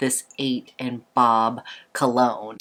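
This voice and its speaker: A woman speaks at a fairly slow pace with a very deep, low pitch. Her intonation stays monotone and flat. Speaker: beauty and fragrance reviewer. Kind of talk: casual talk to camera.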